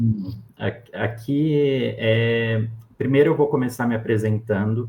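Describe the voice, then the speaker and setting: Speaking very slowly, a man uses a medium pitch and fairly even intonation. His voice is somewhat breathy. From Brazil, interior of Minas Gerais. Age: 20s. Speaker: endodontist. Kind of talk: interview.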